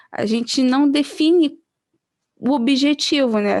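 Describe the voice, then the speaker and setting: A woman speaks with a Brazilian accent. Her pitch is high. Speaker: pastoral trainer. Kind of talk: online training presentation.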